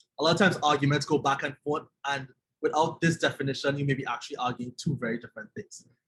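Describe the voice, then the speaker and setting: A man with a fairly high-pitched voice speaks in a Trinidadian accent. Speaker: journalism trainer. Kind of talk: webinar presentation.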